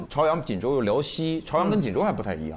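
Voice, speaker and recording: A man's pitch swings very widely as he talks at a very fast pace. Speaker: comedy venue host / emcee. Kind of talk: live audience chat show. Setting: stage with live audience.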